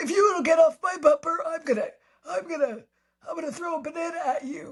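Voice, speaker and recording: A put-on character voice at an extremely high pitch, delivered at a fairly quick pace. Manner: grumpy.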